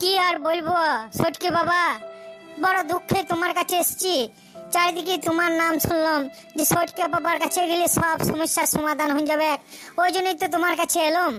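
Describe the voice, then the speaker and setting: A cartoonish character voice at a moderate pace, with clear music in the background. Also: woman. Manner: whiny, pleading.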